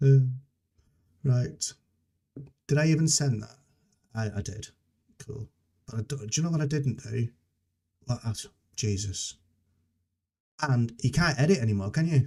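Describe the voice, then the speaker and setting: A man's dark, mellow, somewhat breathy voice at medium pitch, moderate pace and ordinary pitch variation, with long, frequent pauses. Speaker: software developer live streamer. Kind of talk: live coding stream, casual chat. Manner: halting, many fillers and restarts. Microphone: noise cancelling software, levels reset, videos quiet.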